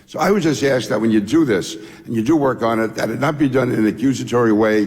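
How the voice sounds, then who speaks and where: With noticeable background noise, a man in a New York accent talks at a very fast pace. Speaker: former congressman. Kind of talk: congressional hearing testimony.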